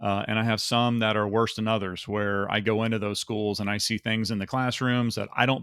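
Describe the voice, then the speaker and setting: With an American accent, a man talks fairly quickly at a fairly low pitch, barely pausing, his intonation monotone and flat. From Texas. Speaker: YouTuber and salesman. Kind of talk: casual vlog rant.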